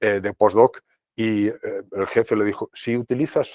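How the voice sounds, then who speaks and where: A man at a fairly slow pace, the sound dry and close with no echo. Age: 60s. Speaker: professor. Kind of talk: lecture. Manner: conversational, filler-heavy.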